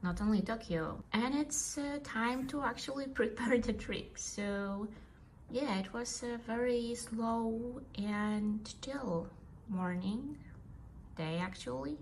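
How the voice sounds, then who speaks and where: In a non-native accent, a woman speaks at a very slow pace with a fairly high pitch and ordinary pitch variation, along with audible room echo and noticeable background noise. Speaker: vlogger. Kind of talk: casual vlog talk to camera. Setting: at home on the couch. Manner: hesitant, with fillers.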